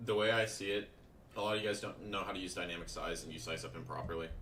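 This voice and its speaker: A man speaks at a very fast pace in a fairly low voice. Audible echo from the room surrounds him. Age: 20s. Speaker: day trader and trading mentor. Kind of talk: livestream Q&A. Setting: live stream. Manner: casual, conversational.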